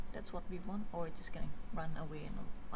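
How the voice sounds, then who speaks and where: A woman's fairly low voice with ordinary pitch variation, amid audible room echo and noticeable background noise. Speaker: physicist. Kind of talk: lab vlog with technical explanation. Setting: physics lab.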